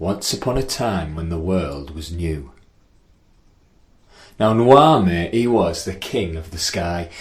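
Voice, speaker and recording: A man speaks at a very slow pace with very wide pitch swings. His loudness swings a lot, and his voice is somewhat breathy. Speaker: storyteller. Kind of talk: children's story reading. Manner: rhythmic, rhyming.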